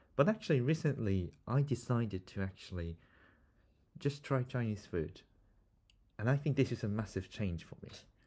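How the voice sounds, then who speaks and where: A man with a Korean accent speaks at medium pitch in a dark, mellow, somewhat breathy tone, at a moderate pace with long, frequent pauses. The recording is very clean with a silent background. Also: lively intonation. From South Korea. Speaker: podcast host and student interviewer. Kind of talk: casual interview conversation.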